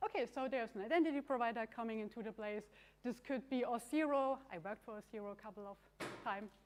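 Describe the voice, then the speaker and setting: Someone with a German accent speaks at a very fast pace. The loudness swings widely. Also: woman, fairly high pitch for a woman, ordinary pitch variation. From Germany. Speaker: conference speaker, software developer. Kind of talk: tech conference talk.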